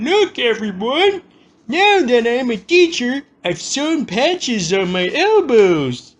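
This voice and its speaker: Putting on a character voice, a man speaks at an extremely high pitch and a fairly slow pace, his pitch swinging very widely. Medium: solo performance.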